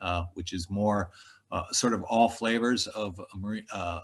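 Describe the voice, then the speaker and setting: A man's fairly low voice, somewhat breathy, at a fairly slow pace with fairly even intonation against a quiet background. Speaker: professor. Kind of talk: presentation. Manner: halting, many fillers.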